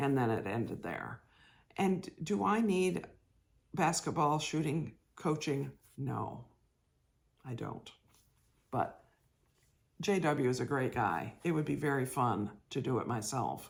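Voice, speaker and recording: A woman with a very deep, low pitch speaks with vocal fry and very wide pitch swings. She goes at a fairly slow pace, leaving long, frequent pauses. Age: 60s. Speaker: cross stitch vlogger. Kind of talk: casual chat.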